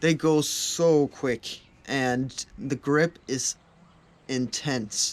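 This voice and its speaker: A man with a fairly high pitch speaks at a very slow pace with ordinary pitch variation. He leaves long, frequent pauses. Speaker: kart racer and sim racer. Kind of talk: casual talk to camera.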